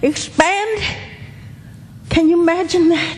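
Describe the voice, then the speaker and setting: Amid noticeable background noise, a woman with an American accent speaks very slowly at an extremely high pitch with ordinary pitch variation. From Los Angeles area, US. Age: 70s. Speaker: local resident, public commenter. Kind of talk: public comment at hearing. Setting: public meeting.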